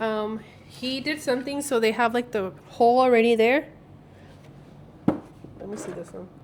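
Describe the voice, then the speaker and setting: Over noticeable background noise, a woman with a fairly high pitch speaks at a moderate pace in a relaxed tone. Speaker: small business owner. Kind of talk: casual vlog talk to camera. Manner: relaxed, chatty.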